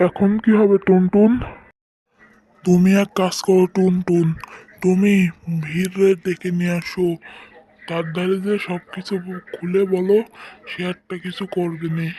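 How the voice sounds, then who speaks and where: In a cartoonish character voice, a man speaks with a high pitch and monotone, flat intonation at a moderate pace. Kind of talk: cartoon voice acting.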